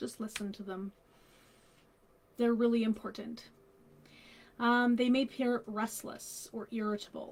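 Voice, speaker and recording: Pausing long and often, a woman speaks at a fairly slow pace in a fairly high, somewhat breathy voice with monotone, flat intonation and big swings in loudness. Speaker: grief counsellor. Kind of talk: live stream talk on children's grief. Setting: Facebook live stream.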